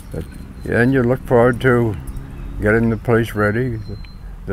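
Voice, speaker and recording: Audible room echo fills the space. In it, a man talks at a moderate pace. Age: 90s. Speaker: farmer. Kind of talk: oral history interview. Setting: at home farm, partly outdoors. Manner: halting, with repetitions.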